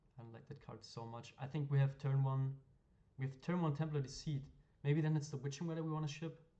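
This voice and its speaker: Very fast and somewhat breathy, the voice has a dark, mellow tone, fairly even intonation, and big swings in loudness. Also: man, fairly high pitch for a man. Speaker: gaming streamer / card game content creator. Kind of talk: gameplay commentary. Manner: casual, hesitant with fillers.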